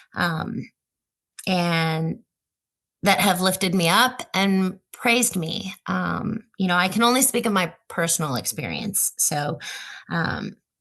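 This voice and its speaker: A woman with a bright, sharp tone and vocal fry, at a very slow pace. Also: medium pitch for a woman, ordinary pitch variation. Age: 50s. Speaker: healthcare technology professional, society board member. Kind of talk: panel podcast interview.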